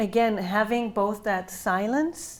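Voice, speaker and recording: A woman with an Israeli accent, ordinary pitch variation and a fairly slow pace. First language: Hebrew. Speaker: novelist. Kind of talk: book talk interview. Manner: hesitant, many fillers.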